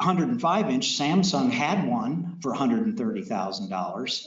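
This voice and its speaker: The voice moves at a moderate pace with very wide pitch swings and audible room echo. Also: man. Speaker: technology presenter. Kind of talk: technical presentation to audience.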